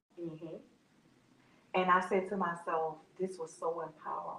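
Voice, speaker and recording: A woman speaks in a New Orleans accent. Her pitch is fairly low. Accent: New Orleans Southern US. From US South, New Orleans. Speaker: nonprofit founder. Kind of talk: interview.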